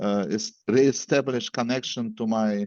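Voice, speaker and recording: A man with a Russian accent, fairly low in pitch, at a fairly slow pace. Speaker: event organizer and moderator. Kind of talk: event introduction. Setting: video call. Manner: halting, many fillers.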